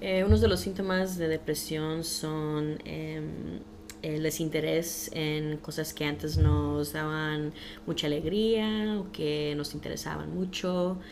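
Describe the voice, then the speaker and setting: A woman with a very deep, low pitch speaks at a very slow pace amid audible room echo and noticeable background noise. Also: ordinary pitch variation. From Los Angeles, US. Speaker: mental health educator. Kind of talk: interview.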